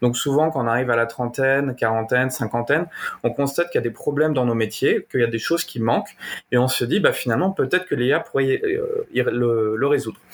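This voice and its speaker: A man talks fairly quickly in a plain, everyday voice. His medium pitch varies in an ordinary way, and his loudness stays very even. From Normandy, France. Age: 30s. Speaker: AI engineer and entrepreneur. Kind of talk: interview.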